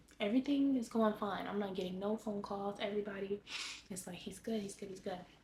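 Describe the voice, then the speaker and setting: A woman with an American accent talks at a very fast pace. There is noticeable background noise. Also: medium pitch for a woman, fairly even intonation. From Los Angeles, California. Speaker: lifestyle vlogger. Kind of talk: personal life update vlog. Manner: halting.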